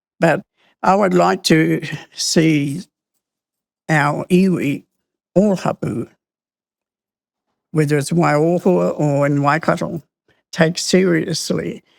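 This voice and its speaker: Very slowly and with long, frequent pauses, a woman speaks at a very deep, low pitch with vocal fry, in a dry, close sound with no echo. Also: ordinary pitch variation. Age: 80s+. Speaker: community elder and activist. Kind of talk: interview.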